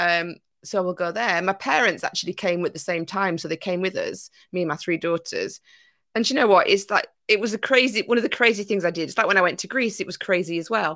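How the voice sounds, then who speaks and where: In a Yorkshire accent, a woman talks at a very fast pace with a bright, sharp tone, on a very clean recording with a silent background. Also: medium pitch for a woman, ordinary pitch variation. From Yorkshire, northern England. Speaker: business coach. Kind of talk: casual chat.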